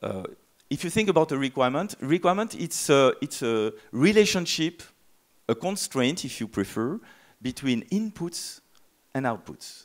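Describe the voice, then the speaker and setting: Against a quiet background, a man with a French accent talks in very wide pitch swings. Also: fairly high pitch for a man, moderate pace. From France. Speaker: software tool company presenter; presenter. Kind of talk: conference talk. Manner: hesitant, many fillers. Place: hall. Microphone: handheld.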